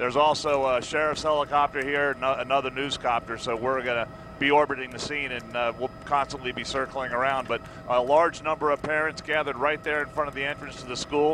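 The sound is dry with no echo, though background noise is noticeable. A man talks very fast in a monotone, flat delivery. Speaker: helicopter news reporter. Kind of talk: live commentary. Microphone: headset.

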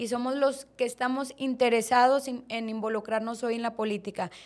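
At a moderate pace, the woman delivers her words. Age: 20s. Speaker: political candidate; candidate. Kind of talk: interview. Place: studio. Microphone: studio mic.

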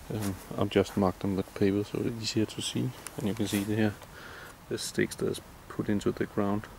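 With a Danish accent and a fairly low pitch, a man speaks with fairly even intonation and long, frequent pauses, the sound dry with no echo over light background noise. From Denmark. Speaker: electrician. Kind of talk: tutorial. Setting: indoors. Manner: halting. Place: open country. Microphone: phone near.

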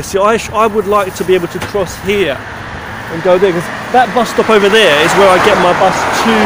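A man speaks with ordinary pitch variation. The sound is dry with no echo, but the background noise is loud. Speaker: vlogger. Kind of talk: casual vlog chat. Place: street. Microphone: phone near.

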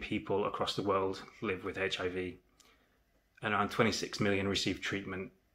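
A man speaks at a fairly slow pace, his fairly low voice carrying a bright, sharp tone. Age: 30s. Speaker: HIV awareness vlogger. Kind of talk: personal testimony. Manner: earnest, measured. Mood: serious, reflective. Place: home room. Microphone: phone near.

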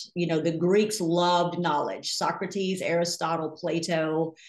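A woman with a fairly low pitch against a quiet background. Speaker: podcast guest, Bible teacher. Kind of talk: interview answer. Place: home room. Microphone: video call.

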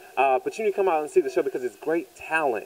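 A man with an American accent speaks fast at a fairly high pitch. His tone is slightly mellow and his pitch variation ordinary.

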